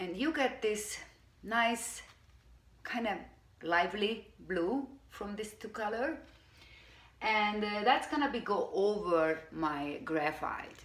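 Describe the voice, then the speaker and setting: A woman with a Hungarian accent speaks at a very slow pace with long, frequent pauses, amid audible room echo. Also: fairly high pitch for a woman, lively intonation. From Hungary. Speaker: furniture painter. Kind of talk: tutorial. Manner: casual, hesitant.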